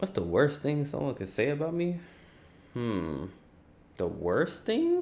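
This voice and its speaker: A man speaks quietly and fairly slowly, with long, frequent pauses. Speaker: streamer. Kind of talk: casual chat. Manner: quiet, chill.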